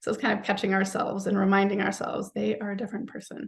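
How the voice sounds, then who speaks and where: A woman's medium-pitched voice with vocal fry. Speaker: psychologist and parenting author. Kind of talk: webinar presentation.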